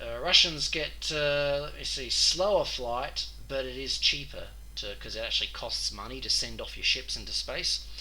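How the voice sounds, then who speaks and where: Amid noticeable background noise and audible room echo, a man with an Australian accent speaks at a moderate pace with hardly any pauses and big swings in loudness. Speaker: gaming youtuber. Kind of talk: gameplay commentary. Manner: casual, with frequent fillers.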